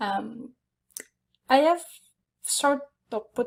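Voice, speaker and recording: A woman with a Quebec accent and ordinary pitch variation. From Quebec, Canada. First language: French. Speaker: photographer. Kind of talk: online conference presentation. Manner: halting, many fillers.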